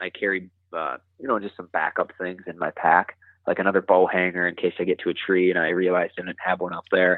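With a Wisconsin accent, a man talks at a fairly quick pace in a monotone, flat intonation and a very deep, low pitch. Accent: Upper Midwest (Wisconsin). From southwest Wisconsin, Richland County. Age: 20s. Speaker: bowhunter reviewing gear. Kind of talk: casual interview. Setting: phone call.

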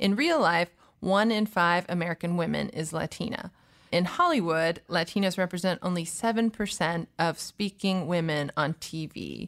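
A woman's ordinary speaking voice, fairly low in pitch, with ordinary pitch variation and a moderate pace, in a very clean recording with a silent background and a dry, close sound free of echo. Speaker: podcast host. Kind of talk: interview podcast conversation.

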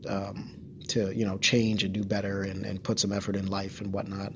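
This is a soft-spoken man. His pitch sits fairly low. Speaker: solo podcast host and streamer. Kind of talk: casual solo monologue. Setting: home studio, close to microphone. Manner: halting, many fillers and repeats.

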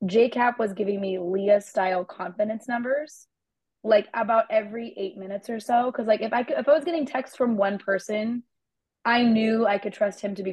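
A woman's fairly high, somewhat breathy voice at a fairly quick pace, with ordinary pitch variation. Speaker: podcast co-host and mental health student. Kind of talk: casual sports chat.

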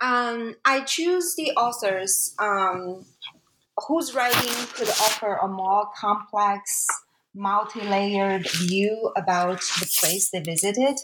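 With a Chinese accent, a woman speaks at a very slow pace in a medium pitch, her intonation lively. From China. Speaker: academic author. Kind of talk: interview. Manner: halting, many fillers.

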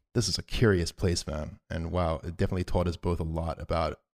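In a very clean recording with a silent background, a man speaks at a very fast pace. His pitch is very deep and low, his tone dark and mellow, his intonation fairly even. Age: 20s. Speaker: podcaster. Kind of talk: casual chat.

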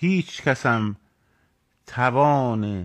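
Over a quiet background, a man at medium pitch speaks with lively intonation in a dry, close sound with no echo. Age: 40s. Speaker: political commentator. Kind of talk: live stream monologue. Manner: animated.

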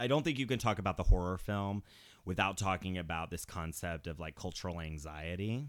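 Over a silent background on a very clean recording, a man with a very deep, low voice speaks at a fairly quick pace. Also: ordinary pitch variation. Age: 30s. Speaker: horror film podcast host. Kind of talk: casual chat.

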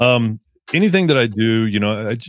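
A man speaks in a Texan accent with lively intonation. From Texas. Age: 40s. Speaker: motorcycle videographer and podcaster. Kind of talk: casual chat. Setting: video call. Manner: halting, many fillers.

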